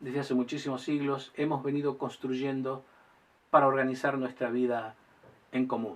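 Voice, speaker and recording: A man at a medium pitch, with monotone, flat intonation and a moderate pace. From Argentina. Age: 60s. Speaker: lawyer and political commentator. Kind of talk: monologue to camera. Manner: formal.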